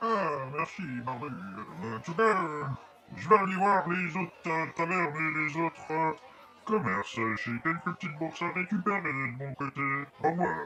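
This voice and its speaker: A put-on character voice with lively intonation at a moderate pace, long, frequent pauses and clear background noise. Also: man, fairly high pitch for a man. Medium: audio drama.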